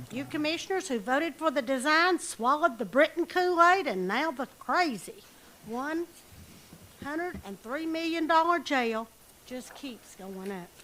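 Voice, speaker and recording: A woman's raised, projected high voice, bright and sharp in tone, with very wide pitch swings at a moderate pace. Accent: American. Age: 60s. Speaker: public commenter at county meeting. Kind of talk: public comment. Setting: county commission meeting. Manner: animated.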